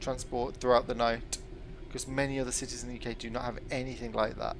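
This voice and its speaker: Audible room echo surrounds a man of medium pitch who talks at a very fast pace. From West Midlands, England (Birmingham area). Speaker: video game streamer. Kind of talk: casual gameplay commentary.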